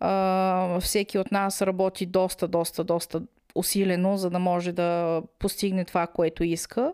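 Against a silent background in a very clean recording, a woman with a dark, mellow tone speaks at a medium pitch, her delivery monotone and flat and her loudness very even. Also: fairly slow pace. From Bulgaria, Smolyan (Rhodopes). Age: 40s. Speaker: emigrant office worker. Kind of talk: casual conversation. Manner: hesitant, many filler sounds.

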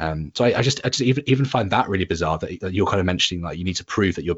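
A man speaks with an English accent at a fairly low pitch. His voice is somewhat breathy. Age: 30s. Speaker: podcast host. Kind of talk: casual chat. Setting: remote call. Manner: halting.

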